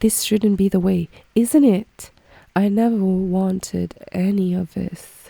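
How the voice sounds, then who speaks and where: Her voice is medium in pitch with a dark, mellow tone and fairly even intonation, recorded with a dry, close sound and no echo. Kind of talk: casual podcast talk.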